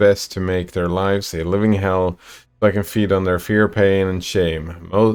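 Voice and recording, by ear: Someone is reading aloud in a natural voice, the intonation fairly even throughout.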